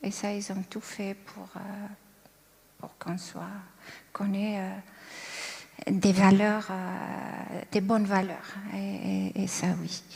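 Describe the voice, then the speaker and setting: A woman at a very slow pace, with long, frequent pauses and big swings in loudness. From Algeria, Kabylie. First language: Kabyle (Berber) (speaking French). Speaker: churchgoer sharing testimony. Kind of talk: testimony. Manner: calm, composed; hesitant, many fillers.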